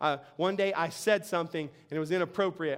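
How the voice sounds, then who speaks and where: The delivery moves at a moderate pace. Its tone is animated. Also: man. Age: 40s. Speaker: pastor. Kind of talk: sermon. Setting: church.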